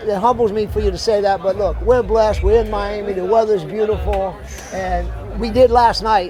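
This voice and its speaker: Someone with a Southern US accent talks at a moderate pace while crowd noise fills the background. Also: man. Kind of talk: conversational, humble. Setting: interview in Miami. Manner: gracious.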